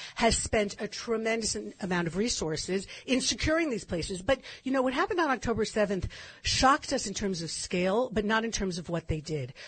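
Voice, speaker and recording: Somewhat breathy and with lively intonation, a woman talks at a fairly quick pace with an American accent. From California. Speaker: commentator on Israeli history. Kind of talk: radio interview.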